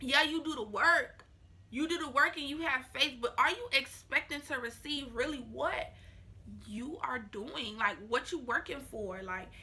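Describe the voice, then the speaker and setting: Projecting her raised voice, a woman speaks with a bright, sharp tone and a high pitch. Her pace is fairly slow and her intonation lively. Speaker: vlogger. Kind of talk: casual vlog talk to camera. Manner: talking slower because of new braces.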